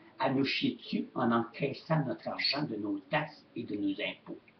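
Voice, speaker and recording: The speaker is a man. He talks in a Quebec accent. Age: 70s. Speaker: retired shop owner vlogger. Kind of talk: webcam rant. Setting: webcam at home. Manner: animated.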